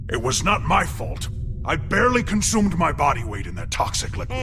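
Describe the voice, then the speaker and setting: Over loud background noise, a man does a cartoonish character voice at a fairly quick pace. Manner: formal, stiff, literal.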